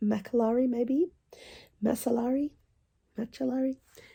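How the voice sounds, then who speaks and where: A somewhat breathy quality marks this woman's voice. She talks at a moderate pace. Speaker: book reviewer. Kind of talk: casual talk to camera.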